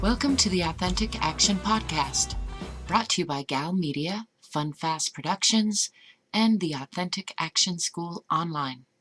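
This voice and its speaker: With music in the background, a woman speaks at a fairly slow pace in a fairly low voice with lively intonation, the sound dry and close with no echo. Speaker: podcast host. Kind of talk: podcast intro.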